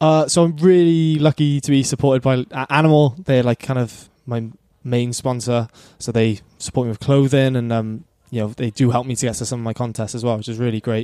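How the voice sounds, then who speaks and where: Speaking at a fairly quick pace in a South Wales accent, a man has a dark, mellow tone and a medium pitch, recorded dry and close with no echo. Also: ordinary pitch variation. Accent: Welsh (South Wales). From South Wales, Cardiff (Penarth). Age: 20s. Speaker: pro surfer. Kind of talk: casual chat.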